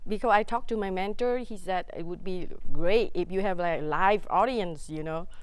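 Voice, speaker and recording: A woman's medium-pitched voice with a Vietnamese accent and audible room echo. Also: ordinary pitch variation, moderate pace. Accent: Vietnamese accent, some letters mispronounced. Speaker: stand-up comedian. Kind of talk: talk show interview. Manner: halting.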